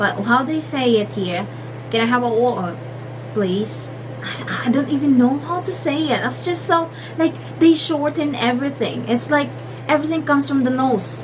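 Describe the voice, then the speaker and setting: A woman with a Filipino accent speaks at a moderate pace, her voice carrying audible room echo over noticeable background noise. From Philippines. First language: Filipino (Tagalog). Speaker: vlogger. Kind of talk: casual vlog talk. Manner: halting, many fillers.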